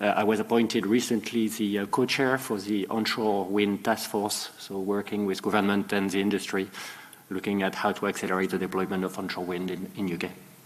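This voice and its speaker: Over noticeable background noise, a man with a French accent talks at a fairly quick pace and fairly low pitch in a monotone, flat intonation. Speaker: renewable energy company CEO. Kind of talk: panel self-introduction.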